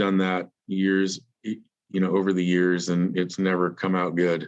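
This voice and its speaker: A man's very deep, low voice at a moderate pace, over a quiet background. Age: 60s. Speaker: painting company owner and business consultant. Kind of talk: interview. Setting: podcast. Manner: halting, many repetitions and fillers.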